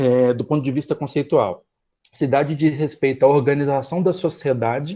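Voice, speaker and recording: The tone of this man's voice is dark and mellow, and his pitch is fairly high. The background is quiet. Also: ordinary pitch variation. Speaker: professor. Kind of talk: lecture. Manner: fast.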